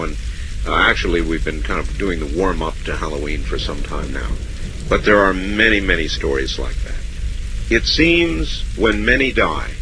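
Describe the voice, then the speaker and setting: The speaker is a man with noticeable background noise around him. He keeps a moderate pace. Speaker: radio host. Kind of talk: late-night call-in radio show.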